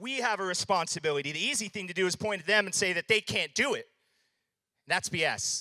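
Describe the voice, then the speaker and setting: Speaking at a fairly quick pace in a raised, projected voice, a man has a high pitch and an animated, bright, sharp tone, with a dry, close sound and no echo. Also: ordinary pitch variation. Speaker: business speaker at a conference. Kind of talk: keynote presentation to live audience. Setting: stage with audience. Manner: loud.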